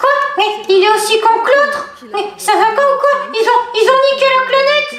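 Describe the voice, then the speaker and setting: A woman performs a put-on character voice at an extremely high pitch. She keeps a moderate pace, with a slight echo. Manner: stammering, excitable.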